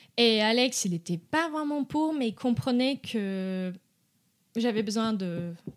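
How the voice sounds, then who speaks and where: On a very clean recording with a silent background, a woman speaks at a very slow pace with lively intonation. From Brazil. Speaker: dog behaviour consultant. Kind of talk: podcast interview. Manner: halting, many hesitations.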